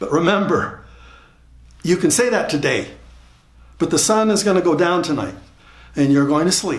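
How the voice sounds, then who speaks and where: The speaker is a man. Audible room echo colors his voice. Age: 70s. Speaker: motivational speaker. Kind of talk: motivational talk. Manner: repeats words, halting starts.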